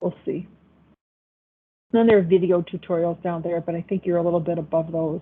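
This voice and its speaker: A woman talks in a Buffalo accent. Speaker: accounting professor. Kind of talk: online class lecture. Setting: video call. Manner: casual, hesitant with fillers.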